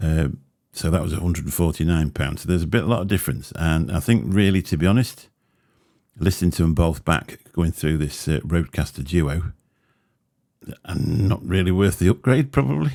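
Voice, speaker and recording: On a very clean recording with a silent background, a man with a very deep, low pitch and vocal fry talks fairly quickly in a dark, mellow tone with ordinary pitch variation. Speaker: tech reviewer. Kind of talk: product comparison vlog. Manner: casual, halting. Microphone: close to microphone.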